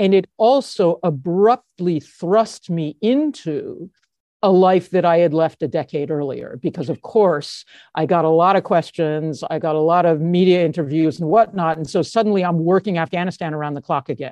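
Using a plain, everyday voice, a woman with an American accent talks at a moderate pace and fairly low pitch, with ordinary pitch variation. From United States. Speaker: anti-corruption expert and author. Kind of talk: interview.

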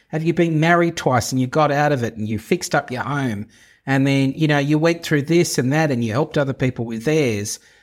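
An unremarkable speaking voice from a man, fairly high in pitch, at a fairly quick pace with ordinary pitch variation, on a very clean recording with a silent background. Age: 50s. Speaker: podcast host, interior designer. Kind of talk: solo podcast monologue. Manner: casual, conversational with fillers.

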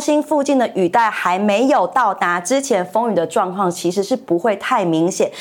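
Pitch swings very widely while the delivery holds a moderate pace. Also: woman. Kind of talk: news reading demonstration. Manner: clear articulation.

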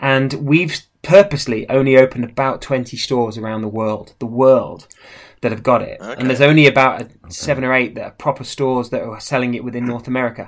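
A man with an English accent talks very fast, with ordinary pitch variation and big swings in loudness. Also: medium pitch for a man. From Midlands, England. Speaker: watch brand manager. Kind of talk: casual chat.

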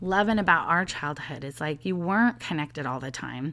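A woman with a normal speaking voice, fairly low in pitch with lively intonation at a fairly quick pace, on a very clean recording with a silent background. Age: 40s. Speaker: leadership coach and podcast host. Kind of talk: casual solo monologue.

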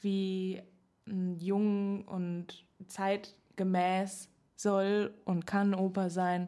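Speaking at a very slow pace with long, frequent pauses, a woman keeps a monotone, flat intonation at medium pitch. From Berlin, Germany. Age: 20s. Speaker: opera singing student and podcast co-host. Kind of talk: casual chat.

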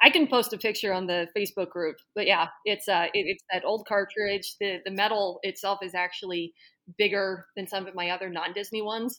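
On a very clean recording with a silent background, a woman with an American accent speaks fairly quickly at a medium pitch, her tone bright and sharp and her intonation fairly even. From Boston area, Massachusetts. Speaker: amateur runner. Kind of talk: interview.

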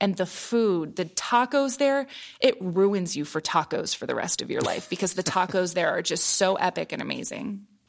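Through noticeable background noise, a woman with an American accent speaks at a medium pitch, her intonation lively and hardly any pauses. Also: moderate pace. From US Midwest, Columbus, Ohio. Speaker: meteorologist, former TV weather presenter. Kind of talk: interview conversation.

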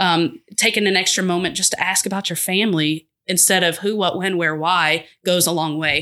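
A woman with a normal speaking voice talks at a fairly quick pace and fairly low pitch. The background is quiet. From Boston area and North Georgia. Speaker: TV news manager. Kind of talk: casual interview.

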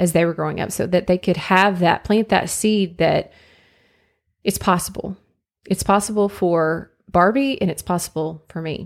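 A woman speaks at medium pitch and a moderate pace with fairly even intonation. A normal speaking voice, on a very clean recording with a silent background. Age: 40s. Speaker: podcast host. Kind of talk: solo monologue podcast.

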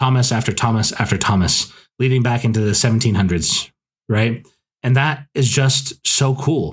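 With an American accent, a man talks at a fairly quick pace in a somewhat breathy, medium-pitched voice with ordinary pitch variation. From Scotland and US. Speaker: podcast host, author. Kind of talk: casual book review monologue. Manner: hesitant, many fillers. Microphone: new equipment, improved audio.

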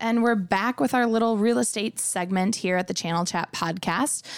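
In an Upper Midwest accent, a woman speaks at a moderate pace and medium pitch with ordinary pitch variation, in a dry, close sound with no echo. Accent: Upper Midwest (Minnesota). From US Midwest, Minnesota lakes area. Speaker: podcast host, marketing director. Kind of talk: podcast interview. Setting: studio.

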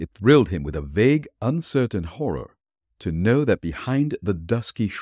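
A natural reading voice is heard, with quiet behind it.

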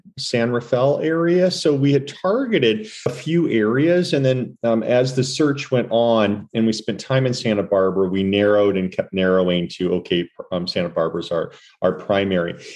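A man's normal speaking voice with an American accent, medium in pitch, at a moderate pace, with lively intonation and very even loudness. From Missouri, US Midwest. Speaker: retail executive. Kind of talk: casual chat.

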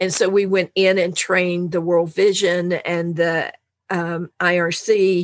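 Monotone and flat in intonation, a woman talks at a fairly low pitch. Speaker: anti-trafficking program expert. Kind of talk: interview.

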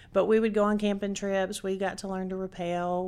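Someone speaks at a fairly quick pace with a Tennessee accent. The recording is very clean, with a silent background. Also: woman. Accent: Southern US (Tennessee). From Chattanooga, Tennessee, US South. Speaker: restaurant franchisee. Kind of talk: interview.

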